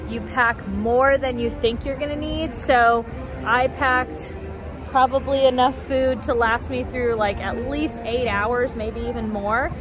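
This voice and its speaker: Clear music plays behind a woman speaking at a fairly slow pace. Her voice sounds dry, with no echo. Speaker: theme park vlogger. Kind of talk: casual vlog chat. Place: street. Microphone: phone near.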